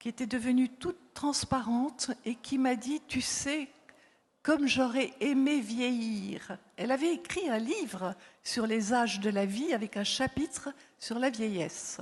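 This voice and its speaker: Speaking very slowly, a woman with a high voice shows ordinary pitch variation and big swings in loudness. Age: 70s. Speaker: psychologist and author, former palliative care worker. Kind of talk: conference talk. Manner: hesitant, many fillers.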